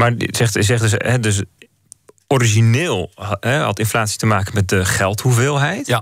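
Over a quiet background, a man speaks at a moderate pace in a somewhat breathy, medium-pitched voice with very even loudness, ordinary pitch variation and a dry sound with no echo. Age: 30s. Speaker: radio and podcast host; radio, podcast host. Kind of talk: radio talk show. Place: studio. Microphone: studio mic.

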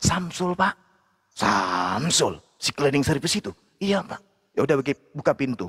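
A fairly high-pitched man at a fairly slow pace, pitch swinging very widely, with long, frequent pauses, in a dry, close sound with no echo. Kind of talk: religious debate. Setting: livestream video call. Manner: animated.

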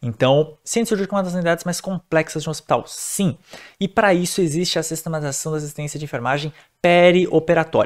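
A man talks at a very fast pace and a high pitch. The background is quiet. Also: ordinary pitch variation. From Brazil. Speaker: nurse and nursing teacher; nursing teacher. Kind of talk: lecture. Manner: casual, conversational. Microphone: webcam.

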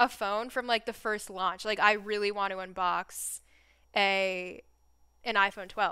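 Against a quiet background, a woman talks fairly slowly in an animated, bright, sharp tone. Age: 20s. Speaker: YouTuber live-streaming a tech event reaction. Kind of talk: live-stream reaction chat. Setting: live stream with headphones and mic. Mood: cheerful, animated. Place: home room.

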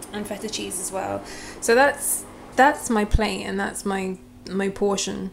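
There is light background noise. A woman speaks at a fairly slow pace. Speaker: fitness vlogger. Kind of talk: casual vlog chat. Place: kitchen. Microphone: phone near.

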